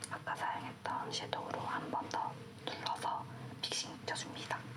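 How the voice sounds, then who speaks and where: A woman whispers at a moderate pace while noticeable background noise carries on behind her. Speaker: makeup artist. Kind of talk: makeup tutorial narration. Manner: whispered, soft-spoken.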